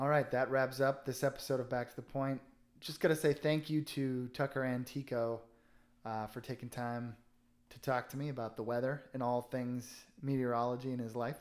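At a moderate pace, a man with an American accent talks at medium pitch in a monotone, flat intonation on a very clean recording with a silent background. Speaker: alumni podcast host. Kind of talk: casual interview. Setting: guest's home.

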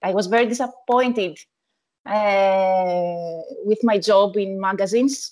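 A woman with a Greek accent, medium pitch, ordinary pitch variation, very even loudness and a fairly slow pace, in a very clean recording with a silent background. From Greece, Athens. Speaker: wedding photographer. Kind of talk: interview. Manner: halting.

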